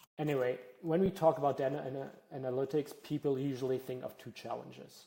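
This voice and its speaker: Speaking at a fairly quick pace, a man with a German accent has a dark, mellow tone, a medium pitch and fairly even intonation. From Germany. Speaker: data analytics workshop presenter. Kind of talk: workshop presentation. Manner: frequent filler words (uh, um).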